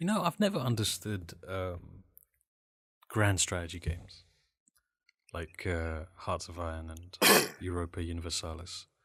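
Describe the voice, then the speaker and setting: A man with a very deep, low pitch sounds somewhat breathy, keeping a moderate pace and fairly even intonation with long, frequent pauses on a very clean recording with a silent background. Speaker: gaming podcast host. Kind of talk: casual chat.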